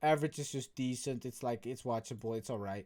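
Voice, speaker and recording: Moderately paced, a man with a Dutch accent speaks in a dark, mellow tone. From Netherlands. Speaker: YouTuber. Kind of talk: casual vlog commentary. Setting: bedroom.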